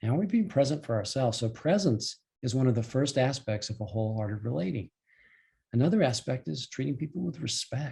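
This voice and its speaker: A man speaks in a somewhat breathy, dark and mellow voice at a medium pitch, with very wide swings in pitch. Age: 70s. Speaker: life and relationship coach. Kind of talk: online presentation to a group. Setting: call. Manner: hesitant, with repetitions and fillers.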